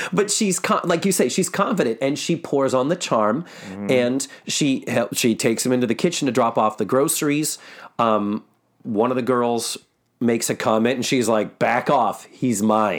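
An ordinary speaking voice at a moderate pace, very even in loudness, with lively intonation, on a very clean recording with a silent background. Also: man, medium pitch for a man. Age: 50s. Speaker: podcast host and actor. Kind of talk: casual chat. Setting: office.

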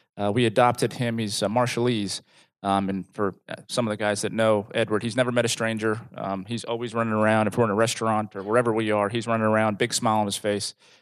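Against a quiet background, the speaker talks at a very fast pace with an American accent. The intonation stays monotone and flat. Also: man. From New Jersey. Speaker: corporate employee and father. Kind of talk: personal testimony. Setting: group meeting. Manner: halting.

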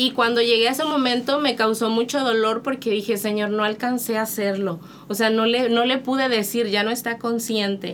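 Over noticeable background noise, a woman with a fairly high pitch talks at a moderate pace with hardly any pauses, fairly even intonation and very even loudness. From Monterrey, Mexico. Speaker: missionary. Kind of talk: testimony.

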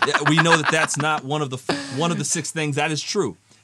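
A man's fairly high voice with fairly even intonation over background music. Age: 30s. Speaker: podcast host. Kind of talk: casual chat.

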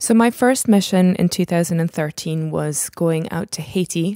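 Speaking at a fairly quick pace, a woman has a fairly low pitch and a dark, mellow tone, heard in a dry, close sound with no echo on a very clean recording with a silent background. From UK, raised there from about eight; born in US, early childhood in Netherlands. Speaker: emergency doctor and humanitarian medic. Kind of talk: interview.

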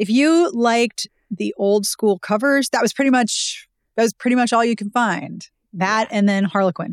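A woman with an American accent speaks at a moderate pace in a fairly high pitch with ordinary pitch variation, the sound dry and close with no echo. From US, Pittsburgh. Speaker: romance book blogger and author. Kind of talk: casual interview.

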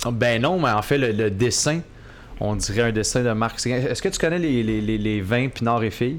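A man has an unremarkable speaking voice at a medium pitch. His pace is moderate, with ordinary pitch variation. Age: 20s. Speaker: media personality. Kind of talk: casual chat. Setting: coworking space studio.

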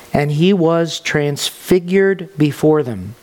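A man's voice, fairly high in pitch with ordinary variation, comes through noticeable background noise. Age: 30s. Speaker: pastor. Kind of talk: sermon.

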